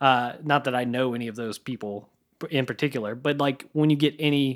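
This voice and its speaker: This man has a normal speaking voice, medium in pitch with ordinary pitch variation. He talks at a moderate pace on a very clean recording with a silent background. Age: 30s. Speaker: musician and podcaster. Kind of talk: casual chat. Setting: studio.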